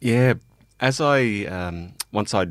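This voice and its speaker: With an Australian accent, a man speaks with ordinary pitch variation. The recording is very clean, the background silent. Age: 40s. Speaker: police officer. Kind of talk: casual chat.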